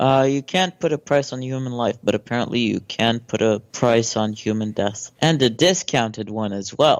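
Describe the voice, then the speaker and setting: A man with a plain, everyday voice, medium in pitch, ordinary pitch variation, moderate pace and hardly any pauses. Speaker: podcast guest. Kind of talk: casual podcast conversation.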